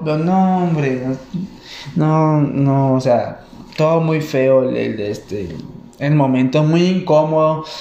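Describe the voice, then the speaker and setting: A man with a Mexican accent, fairly high pitch and ordinary pitch variation at a fairly slow pace, amid audible room echo and noticeable background noise. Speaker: stand-up comedian. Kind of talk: stand-up. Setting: stage with audience. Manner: halting.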